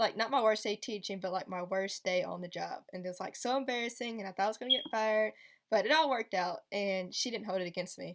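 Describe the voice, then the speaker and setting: Over a silent background on a very clean recording, a woman at medium pitch talks at a very fast pace with ordinary pitch variation. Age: 20s. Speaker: special education teacher. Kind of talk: casual vlog Q&A. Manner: casual, filler-heavy.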